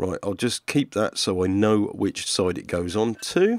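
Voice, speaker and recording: The sound is dry with no echo as a man talks at a fairly slow pace. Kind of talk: tutorial. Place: workshop.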